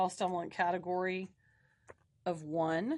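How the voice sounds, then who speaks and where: A woman speaks at a fairly slow pace and a medium pitch. Her intonation stays fairly even against a quiet background. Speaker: instructor. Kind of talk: tutorial.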